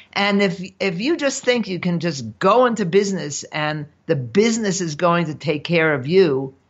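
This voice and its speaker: A woman's fairly low voice with very wide pitch swings, at a moderate pace with hardly any pauses. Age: 70s. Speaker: entrepreneur and author. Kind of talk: interview.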